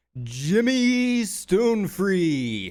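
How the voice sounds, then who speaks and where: Putting on a character voice, a man pitches himself high. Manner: announcing.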